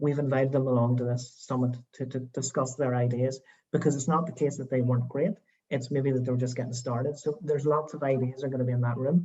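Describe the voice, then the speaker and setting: A man with a Northern Irish accent talks at a very fast pace and a medium pitch. His tone is dark and mellow, somewhat breathy, with monotone, flat intonation. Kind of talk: panel discussion on video call. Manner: hesitant, many fillers.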